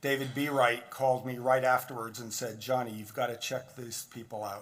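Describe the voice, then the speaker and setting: At a moderate pace, a man of medium pitch speaks in a normal speaking voice with fairly even intonation. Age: 60s. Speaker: physician and guest speaker. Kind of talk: speech at benefit dinner. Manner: informal, conversational.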